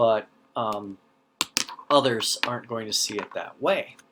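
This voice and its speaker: A man speaks with a slight North Dakota accent. His pitch varies in an ordinary way. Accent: slight Fargo accent, elongated O's. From US Upper Midwest, North Dakota/Minnesota (North Central, Fargo area). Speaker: teacher. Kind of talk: lecture. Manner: halting, many fillers and repetitions.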